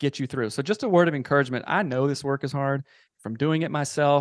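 A man with an American accent speaks in a plain, everyday voice, fairly high-pitched for a man, at a fairly quick pace with ordinary pitch variation, the sound dry and close with no echo over a quiet background. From US South, South Carolina. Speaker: marriage and family therapist. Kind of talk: casual interview.

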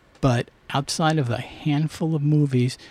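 A man speaks in a dark, mellow tone that is somewhat breathy. His intonation stays fairly even. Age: 60s. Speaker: comic shop owner. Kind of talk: casual interview chat.

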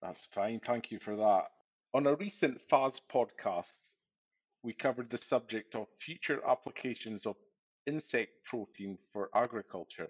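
In a plain, everyday voice, a man talks at a moderate pace with medium pitch and ordinary pitch variation. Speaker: podcast host, farm advisor. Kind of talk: interview.

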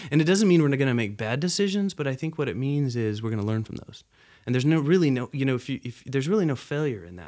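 This man has an ordinary speaking voice, fairly high in pitch, with an American accent and lively intonation. The recording is very clean with a silent background. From Nepal and US, half childhood in Nepal. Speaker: business development professional. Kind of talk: interview.

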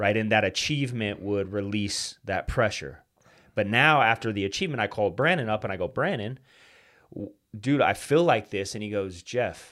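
Speaking at a fairly quick pace, a man has a fairly low pitch with ordinary pitch variation and big swings in loudness. The recording is very clean, with a silent background. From US West, Utah (Salt Lake City area). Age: 30s. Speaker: financial services entrepreneur and podcaster. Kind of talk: interview, personal story. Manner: casual, animated.

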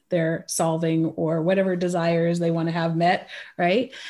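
This is a woman speaking with a Californian accent. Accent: American, California. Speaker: pricing consultant for small businesses. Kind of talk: casual interview chat. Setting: remote call from Switzerland.

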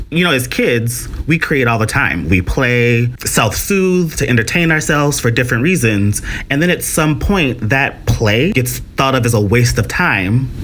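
A man's medium-pitched voice, fairly slow with hardly any pauses and very even loudness, over noticeable background noise. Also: lively intonation. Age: 40s. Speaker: podcast host. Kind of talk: casual interview.

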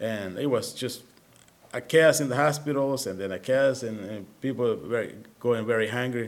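With a Spanish accent, a man speaks at a medium pitch and moderate pace, using ordinary pitch variation. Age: 50s. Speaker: missionary at a children's home. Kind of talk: sermon. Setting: church.

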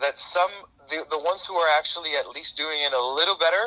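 The man speaks at a fairly quick pace. The sound is dry and close with no echo. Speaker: podcast guest. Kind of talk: casual chat.

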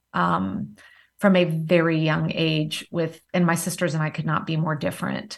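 A woman speaks with a slight Southern US accent and vocal fry, her pitch very deep and low, her pace moderate and her pitch variation ordinary, against a quiet background. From various places, military family (Marine Corps father). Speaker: entrepreneur, time management coach. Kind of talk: interview.

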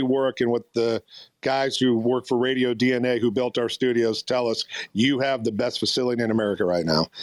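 An unremarkable speaking voice from a man at medium pitch and moderate pace, dry and close with no echo, in a very clean recording over a silent background. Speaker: radio program director. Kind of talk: interview storytelling. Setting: live audio chat room.

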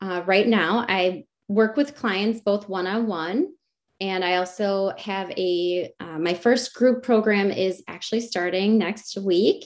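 A woman's medium-pitched voice with an American accent, at a very slow pace. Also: ordinary pitch variation. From Wisconsin, rural US Midwest. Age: 40s. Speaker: success coach, former teacher. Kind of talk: interview.

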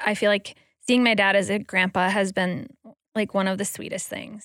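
A woman with an ordinary speaking voice talks at a moderate pace and medium pitch. The recording is very clean with a silent background, dry and close with no echo. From Wisconsin, Green Bay. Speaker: guest, mother. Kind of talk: casual chat.

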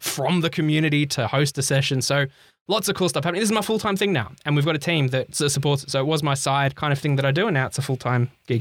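On a very clean recording with a silent background, a man with an Australian accent talks very fast at a fairly high pitch, with very even loudness and ordinary pitch variation. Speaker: health tech podcaster and CEO. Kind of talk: casual interview.

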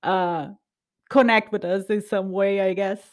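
With a Brazilian accent, a woman of medium pitch speaks fairly slowly in a playful tone on a very clean recording with a silent background. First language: Portuguese. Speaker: podcast host. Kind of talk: casual chat. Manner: playful, laughs often.

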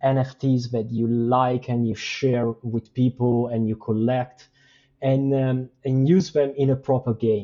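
With a non-native accent, a man talks at a fairly slow pace. His medium-pitched voice stays monotone and flat. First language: not English. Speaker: game and NFT project creator. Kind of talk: casual interview chat. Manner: halting, many fillers.

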